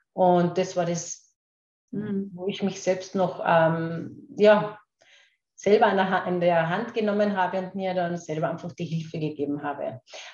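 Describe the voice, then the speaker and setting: A woman speaks at a very slow pace and a medium pitch, keeping her intonation fairly even. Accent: Carinthian. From Austria, Carinthia. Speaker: kinesiologist and laughter coach. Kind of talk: interview. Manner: hesitant, many fillers and repetitions.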